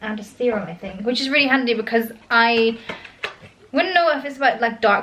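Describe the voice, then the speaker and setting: A woman's fairly high voice in a British accent, fairly quick, with ordinary pitch variation. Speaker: lifestyle vlogger. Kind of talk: casual vlog. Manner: fast; frequent um fillers.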